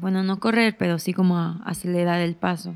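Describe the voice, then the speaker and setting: The recording is very clean, its background silent. A woman talks at a medium pitch. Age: 20s. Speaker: podcaster. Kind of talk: personal storytelling monologue.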